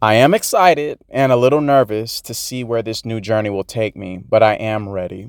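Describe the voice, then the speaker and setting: A man talks in a plain, everyday voice with a medium pitch and ordinary pitch variation. He keeps a moderate pace with hardly any pauses, recorded dry and close with no echo. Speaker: podcast host. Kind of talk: casual solo monologue.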